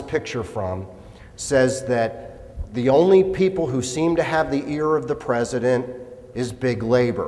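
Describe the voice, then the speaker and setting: With medium pitch and ordinary pitch variation, a man's voice carries audible room echo. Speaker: labor law attorney. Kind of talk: lecture.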